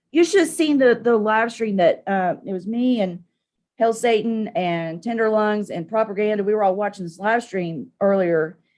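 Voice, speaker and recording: A woman with a Southern Appalachian accent, fairly high in pitch, animated, at a moderate pace with ordinary pitch variation, over a quiet background. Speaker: live streamer, political commentator. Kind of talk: casual live stream rant.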